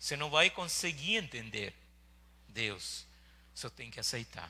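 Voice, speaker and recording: This man's voice has a bright, sharp tone. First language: not Portuguese (speaking Portuguese). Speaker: pastor. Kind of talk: sermon. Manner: halting.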